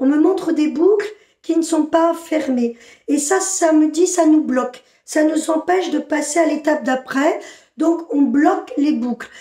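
Against a quiet background with audible room echo, a woman speaks at a fairly slow pace in a high, dark and mellow voice. Her pitch varies in an ordinary way and her loudness stays very even. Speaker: spiritual channeler. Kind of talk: channeled spiritual message. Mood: inward, trance-like channeling. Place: home room. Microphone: phone near.

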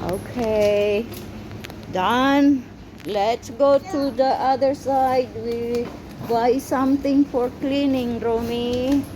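The speech moves very slowly with ordinary pitch variation, set against noticeable background noise. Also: woman, high pitch for a woman. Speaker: vlogger and caregiver of a child. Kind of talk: casual vlog narration while shopping. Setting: supermarket. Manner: animated, talking to a toddler.

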